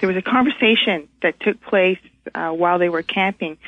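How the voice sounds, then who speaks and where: This woman has an ordinary speaking voice, fairly low in pitch, and talks at a moderate pace. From Montreal, Canada. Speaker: caller. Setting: phone call.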